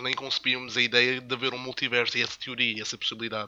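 A man with a medium pitch talks at a very fast pace amid noticeable background noise. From Madeira, Portugal. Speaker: podcast co-host. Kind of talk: casual chat.

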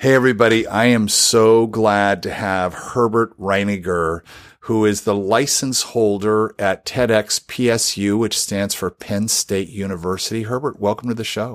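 An unremarkable speaking voice moves at a fairly slow pace with hardly any pauses and fairly even intonation. The recording is very clean, its background silent. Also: man, fairly low pitch for a man. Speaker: podcast host. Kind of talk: interview conversation.

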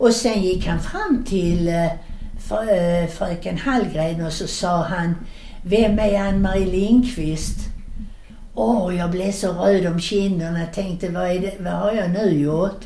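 A woman at a very slow pace with ordinary pitch variation, audible room echo and noticeable background noise. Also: medium pitch for a woman. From southern Sweden (Skåne, Landskrona). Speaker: grandmother telling childhood memories. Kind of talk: storytelling. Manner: animated.

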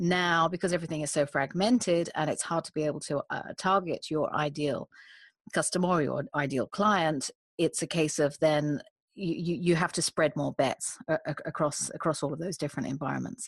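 A woman with a British accent speaks at a moderate pace, her fairly low voice showing ordinary pitch variation. The background is quiet, and the sound is dry and close with no echo. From UK. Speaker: executive coach and recruiter. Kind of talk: casual interview conversation. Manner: hesitant, repeats words, talkative.

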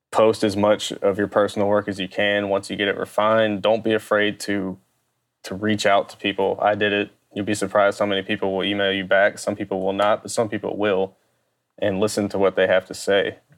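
A man with a Louisiana accent, fairly low in pitch, monotone, flat intonation, at a fairly quick pace. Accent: Southern US (Louisiana). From US South, Baton Rouge, Louisiana. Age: 30s. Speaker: sports graphic designer. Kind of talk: casual interview.

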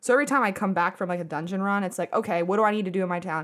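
Against a silent background on a very clean recording, a woman at medium pitch speaks in an animated tone. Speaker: podcast host. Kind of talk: casual chat. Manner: animated, laughs a lot.

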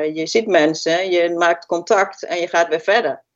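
With an unremarkable speaking voice, a woman speaks at a moderate pace and a fairly low pitch. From Twente, eastern Netherlands (Haaksbergen). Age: 50s. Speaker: healthcare worker. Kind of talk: interview.

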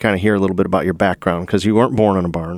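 A man with an American accent, fairly low pitch and ordinary pitch variation, in a dry, close sound with no echo and a very clean recording with a silent background. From US Midwest, Toledo, Ohio. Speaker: podcast host, construction company president. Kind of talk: casual interview.

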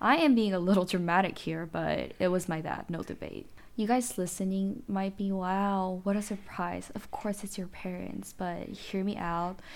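The speaker has a Korean accent and keeps a moderate pace with hardly any pauses. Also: woman, medium pitch for a woman, fairly even intonation. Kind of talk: solo monologue podcast. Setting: home recording with podcast mic. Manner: laughs often.

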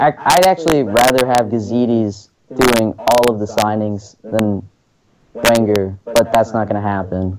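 A man with an American accent and an unremarkable speaking voice, medium in pitch, fairly slow, with ordinary pitch variation. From United States. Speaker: guest. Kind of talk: casual chat.

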